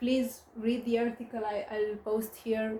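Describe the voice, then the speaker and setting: A woman with a slight non-native accent speaks in a somewhat breathy voice. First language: not English. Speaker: astrologer. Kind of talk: monologue on astrology. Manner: hesitant, many fillers.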